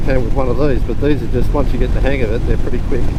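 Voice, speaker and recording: Very fast speech comes through with audible room echo and noticeable background noise. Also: man. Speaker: motorcycle vlogger. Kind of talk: casual vlog narration while riding. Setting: outdoors on a motorcycle. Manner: louder than usual.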